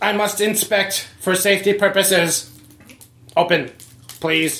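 A put-on character voice sits at a middle pitch. It moves at a fairly slow pace. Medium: actual play. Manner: flat, literal, formal.

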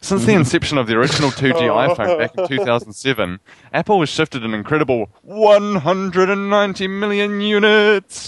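A man with a New Zealand accent, high in pitch with very wide pitch swings, moderate pace with hardly any pauses, dry close sound with no echo. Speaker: podcast co-host.

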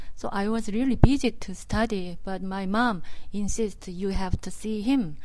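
A woman's medium-pitched voice with a Korean accent, ordinary pitch variation and a moderate pace

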